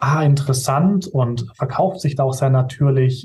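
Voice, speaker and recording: A man talks at a medium pitch. Background music accompanies him. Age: 20s. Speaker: video production company owner. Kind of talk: interview.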